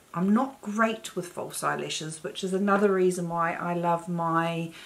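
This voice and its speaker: There is noticeable background noise as a woman speaks. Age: 50s. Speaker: beauty vlogger. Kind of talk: tutorial. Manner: slow.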